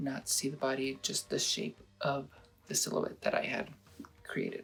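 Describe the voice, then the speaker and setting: A man, with music in the background. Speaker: photo editing tutorial creator. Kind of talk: casual tutorial talk to camera. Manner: hesitant, rambling.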